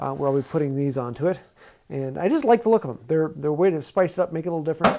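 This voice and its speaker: The man's tone is dark and mellow. His pitch rises and falls in an ordinary way. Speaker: woodworking instructor. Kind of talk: tutorial. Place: workshop. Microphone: lapel.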